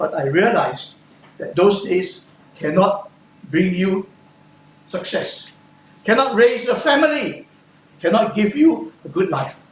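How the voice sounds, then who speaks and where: Speaking at a high pitch with very wide pitch swings and long, frequent pauses, a man is heard over noticeable background noise. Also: fairly slow pace. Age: 70s. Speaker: speech contestant. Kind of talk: speech.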